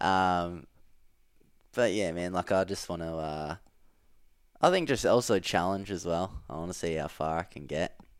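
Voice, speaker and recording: A man with an Australian accent and a very deep, low pitch, ordinary pitch variation, and long, frequent pauses. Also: moderate pace. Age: 20s. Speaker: elite CrossFit athlete. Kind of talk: casual chat.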